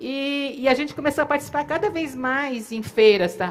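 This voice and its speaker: A woman with lively intonation. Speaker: company co-founder. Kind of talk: storytelling at a live event. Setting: theater stage.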